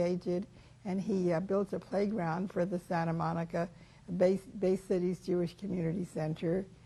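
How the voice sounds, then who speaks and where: Somewhat breathy, a woman with an American accent speaks in a dark, mellow tone. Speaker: life-story interviewee. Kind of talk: oral history interview. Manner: halting, with many fillers.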